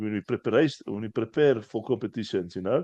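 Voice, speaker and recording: A dark, mellow tone comes with a South African accent. The sound is dry and close with no echo, over a quiet background. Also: man. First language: Afrikaans. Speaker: strongman athlete. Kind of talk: casual chat. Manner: halting, repeats words.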